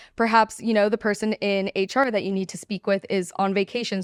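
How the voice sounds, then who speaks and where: Recorded very cleanly against a silent background, with a dry, close sound and no echo, a woman talks at a fairly quick pace in a medium pitch. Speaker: defense attorney and podcast co-host. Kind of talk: podcast discussion. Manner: loud.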